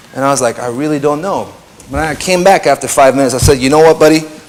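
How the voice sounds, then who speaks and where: Fairly even intonation at a very fast pace, with noticeable background noise. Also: man. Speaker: DJ and radio and TV presenter giving a talk. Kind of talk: conference talk. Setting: stage with audience. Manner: casual, hesitant with fillers.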